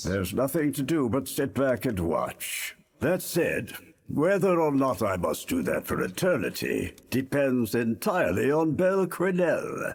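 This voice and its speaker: A man puts on a character voice with a fairly high pitch, speaking at a moderate pace. The recording is very clean, with a silent background. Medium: fan dub. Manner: grave, measured.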